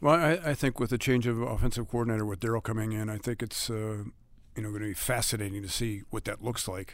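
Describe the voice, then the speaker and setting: His intonation is fairly even. The speaker is a man with a medium pitch. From US Midwest, Cleveland. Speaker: sports play-by-play announcer. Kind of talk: casual interview. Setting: team training facility. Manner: halting, many fillers.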